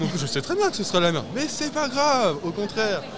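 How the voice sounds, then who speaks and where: A man's moderate-paced speech, marked by very wide pitch swings, is heard with audible room echo and noticeable background noise. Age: young. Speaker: entrepreneur in event cinema. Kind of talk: interview.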